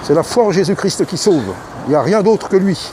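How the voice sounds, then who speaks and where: The speaker talks at a moderate pace. Crowd noise can be heard in the background. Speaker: street preacher. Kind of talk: sermon. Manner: loud; fervent.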